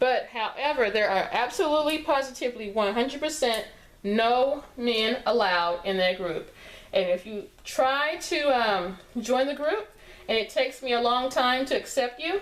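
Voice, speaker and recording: A high-pitched woman's voice with a Texas accent, lively intonation and a moderate pace. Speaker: sewing tutorial creator. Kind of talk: tutorial. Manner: casual, conversational with fillers.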